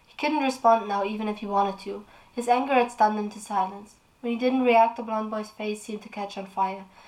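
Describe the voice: The intonation stays fairly even as the text is read aloud plainly.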